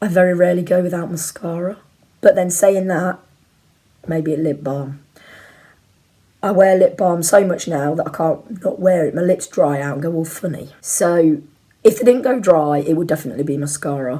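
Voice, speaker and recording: Quietly and at a moderate pace, a woman speaks in a dark, mellow tone at a fairly low pitch, with ordinary pitch variation and long, frequent pauses. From Leicester, England. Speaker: YouTuber. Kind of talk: casual chat.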